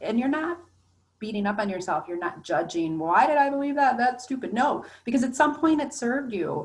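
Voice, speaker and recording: Very wide pitch swings and an animated tone mark this woman's somewhat breathy voice. She keeps a moderate pace. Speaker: life coach. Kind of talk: online coaching workshop. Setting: recorded online meeting.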